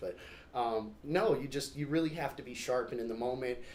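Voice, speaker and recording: A man at a medium pitch, very fast pace and fairly even intonation, with audible room echo. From California, Stockton. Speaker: stand-up comedian. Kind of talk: casual interview.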